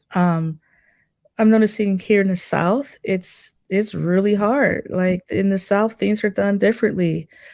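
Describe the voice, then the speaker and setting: A woman speaks in a plain, everyday voice with a medium pitch and fairly even intonation. Her pace is fairly slow, on a very clean recording with a silent background. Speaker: jazz drummer and professor. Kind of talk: interview.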